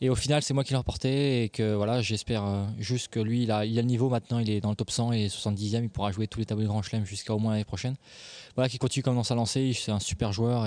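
A man with a dark, mellow tone talks at a very fast pace and medium pitch. His intonation is fairly even, and the background is quiet. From France. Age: 20s. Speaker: professional tennis player. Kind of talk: interview.

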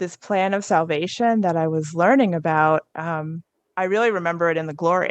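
In an American accent, a woman talks at a moderate pace in a normal speaking voice. Her pitch is fairly low, with ordinary pitch variation. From New Jersey. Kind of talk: testimony.

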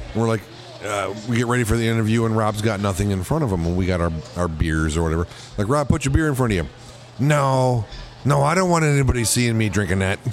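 Very fast speech with lively intonation plays out against noticeable background noise. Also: man, fairly low pitch for a man. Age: old. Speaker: musician. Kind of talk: casual chat. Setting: bar.

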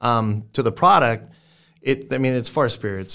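In an American accent, a man with a plain, everyday voice speaks at a moderate pace with fairly even intonation, in a very clean recording with a silent background. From South Texas. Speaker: barbecue restaurant owner and pitmaster. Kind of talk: casual interview.

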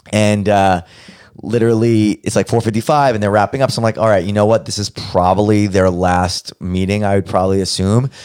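A man speaks in a normal speaking voice with an American accent, fairly low in pitch. His pace is fairly quick and his intonation fairly even. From Brooklyn, New York. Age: young. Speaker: podcast producer and host. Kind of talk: casual chat.

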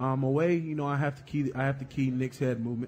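A man's somewhat breathy, dark, mellow voice in an American accent, monotone and flat, at a very fast pace. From North Carolina. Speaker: professional football player. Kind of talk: casual interview. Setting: live show at a restaurant with audience.

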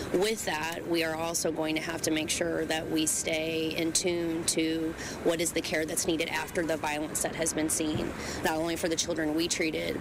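A woman's very deep, low pitch in monotone, flat intonation at a fairly quick pace, over noticeable background noise. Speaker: hospital spokesperson. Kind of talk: press conference statement. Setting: news conference.

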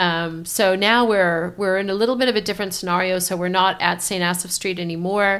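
The delivery is fairly quick, with hardly any pauses. Intonation stays fairly even. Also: woman, medium pitch for a woman. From grew up abroad as American diplomat's child (South Asia, Middle East, Africa). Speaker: community innovation organisation leader. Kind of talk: interview.

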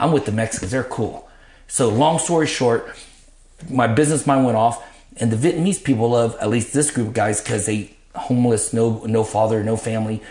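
Somewhat breathy and dark, mellow in tone, a man speaks at a fairly quick pace with a medium pitch and ordinary pitch variation. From Vietnam, raised in Dallas area, Texas. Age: 50s. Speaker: podcast guest, ministry leader. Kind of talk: casual chat, life testimony. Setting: garage lounge.

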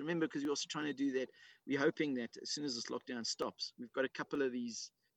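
At a very fast pace, a man talks with a fairly high pitch in a dry, close sound with no echo. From South Africa, Witbank. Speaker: podcast guest, father. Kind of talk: casual chat.

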